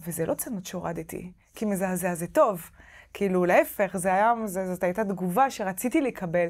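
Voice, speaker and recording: A woman with a French accent, ordinary pitch variation, quiet background. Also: medium pitch for a woman, moderate pace. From France. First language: French (speaking Hebrew). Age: 30s. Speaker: novelist; interviewee. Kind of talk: interview; interview answer. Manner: halting. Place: hall. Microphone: lapel.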